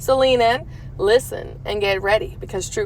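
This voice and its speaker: With noticeable background noise behind her, a woman with an American accent speaks at a moderate pace. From Louisiana. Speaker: true crime podcast host. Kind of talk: podcast monologue. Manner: casual, chatty.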